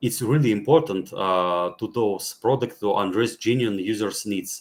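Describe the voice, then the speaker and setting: A man with a non-native accent talks at a moderate pace in a fairly low pitch, with ordinary pitch variation. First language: not English. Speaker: blockchain gaming speaker. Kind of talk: panel talk presentation. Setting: virtual meetup. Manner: halting, many fillers.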